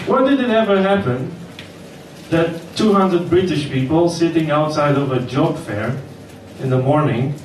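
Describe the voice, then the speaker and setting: A man with a fairly high pitch and ordinary pitch variation, plus noticeable background noise and audible room echo. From Romania. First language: Romanian. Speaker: comedian. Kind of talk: stand-up. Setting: stage with audience.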